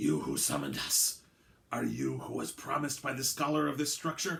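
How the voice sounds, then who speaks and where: Using a put-on character voice, a man speaks at a medium pitch. His voice is gravelly and raspy. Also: moderate pace. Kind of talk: formal, archaic.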